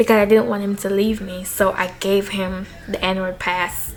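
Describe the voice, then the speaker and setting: A woman with an animated tone at a moderate pace, with music in the background. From Jamaica. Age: young. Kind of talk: casual talk to camera. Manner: chatty, animated.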